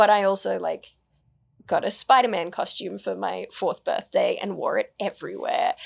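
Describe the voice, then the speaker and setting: A woman with an Australian accent speaks at a moderate pace. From Australia, New South Wales. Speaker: actor, writer and YouTuber; actor, YouTuber. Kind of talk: interview. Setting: studio interview set. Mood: relaxed, reflective. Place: studio. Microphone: studio mic.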